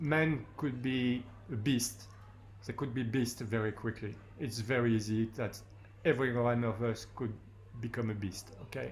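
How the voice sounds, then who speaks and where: A somewhat breathy man with a French accent at medium pitch, moderate pace and fairly even intonation, with long, frequent pauses. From France. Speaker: war photographer. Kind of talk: panel discussion. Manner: halting.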